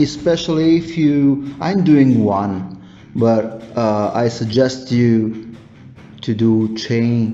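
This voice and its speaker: Music plays in the background as a man with an Italian accent speaks at a very slow pace. His pitch is medium, with ordinary variation. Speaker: miniature painting youtuber. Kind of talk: tutorial. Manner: halting. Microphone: phone recording.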